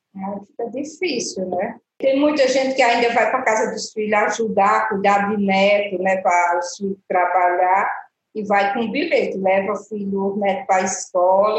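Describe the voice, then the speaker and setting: The speech is somewhat breathy, moving at a moderate pace with ordinary pitch variation. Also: woman. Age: 60s. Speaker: retired cleaning assistant. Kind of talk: interview.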